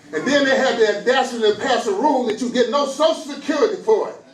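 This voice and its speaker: The speech moves at a very fast pace in an American accent, with ordinary pitch variation. Music plays in the background. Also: man. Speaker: pastor. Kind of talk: sermon.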